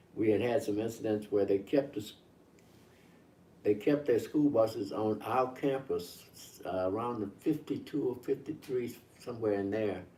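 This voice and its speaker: Somewhat breathy speech from a man, dark and mellow in tone, at a moderate pace. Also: medium pitch for a man, ordinary pitch variation. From Mississippi, US South. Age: 80s+. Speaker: civil rights elder. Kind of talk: interview.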